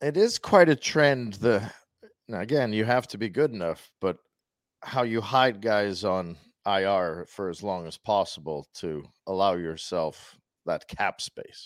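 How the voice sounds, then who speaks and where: A man with an unremarkable speaking voice talks fairly slowly at a fairly low pitch with lively intonation. The sound is dry and close with no echo, on a very clean recording with a silent background. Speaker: sports radio co-host. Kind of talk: casual sports talk. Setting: studio.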